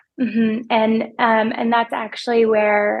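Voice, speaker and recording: Soft-spoken, a woman talks at a fairly high pitch and a fairly slow pace with fairly even intonation. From small rural town. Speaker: financial advisor. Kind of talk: podcast interview.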